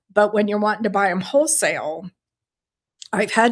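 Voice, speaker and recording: It is an unremarkable speaking voice with fairly even intonation. The recording is very clean, with a silent background. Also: woman. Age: 60s. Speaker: beading teacher and small business owner. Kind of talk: solo podcast talk answering questions. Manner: conversational with fillers.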